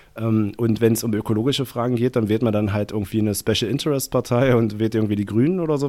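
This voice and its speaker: A man talks at a very fast pace with hardly any pauses, his pitch medium. His tone is dark and mellow, and his intonation fairly even. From Saxony-Anhalt, eastern Germany. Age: 20s. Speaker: party activist. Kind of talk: casual interview. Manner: long-winded.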